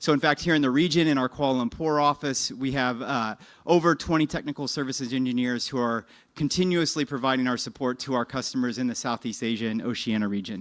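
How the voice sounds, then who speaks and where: A man talks at a medium pitch and a very fast pace with ordinary pitch variation. The recording is very clean, with a silent background. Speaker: business development presenter for a technology licensor. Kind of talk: conference presentation.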